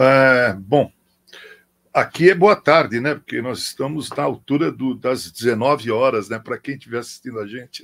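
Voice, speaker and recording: With an unremarkable speaking voice, a man's loudness rises and falls sharply as he talks at an unhurried, mid-range pitch with typical pitch movement and a moderate tempo. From Brazil, São Paulo. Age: 60s. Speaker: pastor. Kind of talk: interview.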